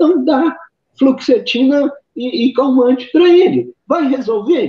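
This man's voice sits at an extremely high pitch. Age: 60s. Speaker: psychiatrist. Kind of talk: interview. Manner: halting, with many repetitions.

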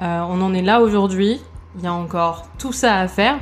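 A woman talks in a normal speaking voice. Her pitch is medium, with ordinary variation. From France, Burgundy. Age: 20s. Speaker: manager. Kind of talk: casual chat. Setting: at her home.

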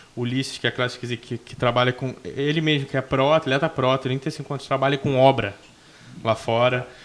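A man with an unremarkable speaking voice talks at a moderate pace, with medium pitch and fairly even intonation. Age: 20s. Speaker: bodybuilding coach and athlete. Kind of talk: casual chat.

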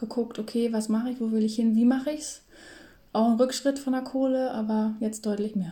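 With a dark, mellow tone and a somewhat breathy quality, a woman speaks at a fairly high pitch and moderate pace with fairly even intonation. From northern Germany, near Hamburg. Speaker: podcast co-host. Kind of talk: casual chat. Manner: filler-heavy, many ähm.

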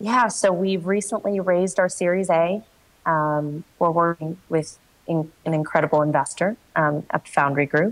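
Her voice is an unremarkable speaking voice, a woman's fairly low pitch held at very even loudness, with ordinary pitch variation and a moderate pace. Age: 20s. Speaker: startup founder and CEO. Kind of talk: coaching conversation.

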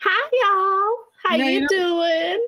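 Putting on a squeaky character voice in a Texan accent, a woman speaks at an extremely high pitch with lively intonation. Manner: friendly greeting.

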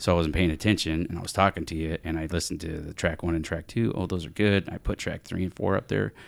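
A man talks at a very fast pace with a very deep, low pitch, vocal fry and ordinary pitch variation. The recording is very clean with a silent background. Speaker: podcast host and sound editor. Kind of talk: casual chat.

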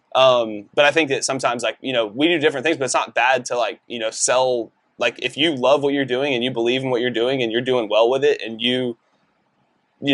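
Talking at a very fast pace, a man with an American accent holds a medium pitch and fairly even intonation. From Texas, Decatur. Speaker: realtor. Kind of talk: casual interview chat.

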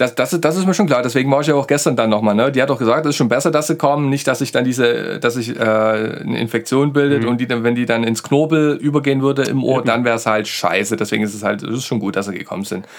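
A man talks very fast at a medium pitch with ordinary pitch variation, hardly any pauses, and noticeable background noise. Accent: Saxon. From Saxony. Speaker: podcast co-host. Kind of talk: casual chat. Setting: studio.

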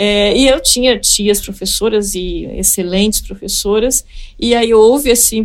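A woman's fairly high-pitched voice at a fairly slow pace, a normal speaking voice. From Espírito Santo, Brazil (Colatina). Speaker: economist, former treasury official. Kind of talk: interview.

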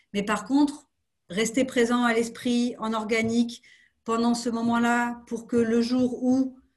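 A woman's somewhat breathy, fairly high-pitched voice at a very slow pace. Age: 30s. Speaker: marketing executive. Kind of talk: interview.

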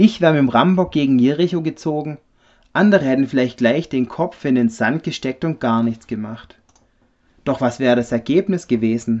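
A man with a plain, everyday voice speaks at a medium pitch. His pace is moderate and his intonation lively. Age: 30s. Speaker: refrigeration technician, church member. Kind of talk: personal faith testimony.

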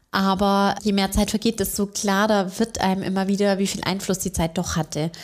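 Speaking at a fairly quick pace in a medium pitch, a woman is heard on a very clean recording with a silent background. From Bavaria, Augsburg. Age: 30s. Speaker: bank marketing employee. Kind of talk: interview.

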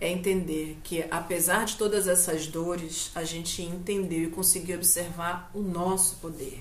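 Audible room echo and noticeable background noise fill the recording. A woman speaks at a very slow pace. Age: 50. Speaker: journalist and university lecturer, activist. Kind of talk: casual chat. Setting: at home.

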